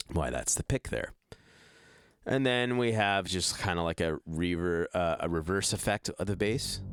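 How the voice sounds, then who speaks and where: Over a very clean recording with a silent background and a dry, close sound with no echo, a man speaks at a moderate pace with a very deep, low pitch and lively intonation. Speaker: music producer. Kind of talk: tutorial. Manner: casual, halting.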